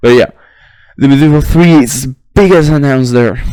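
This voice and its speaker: With a non-native accent, a man speaks using lively intonation. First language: not English. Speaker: gaming commentator, history student. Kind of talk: unscripted monologue. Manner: halting, many fillers and restarts. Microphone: poor audio quality.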